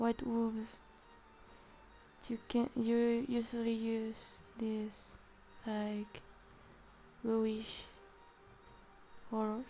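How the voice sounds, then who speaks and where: A woman with a non-native accent speaks very slowly, in a fairly high, monotone, flat voice with long, frequent pauses. Music plays in the background. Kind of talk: art tutorial narration. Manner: hesitant, many filler sounds.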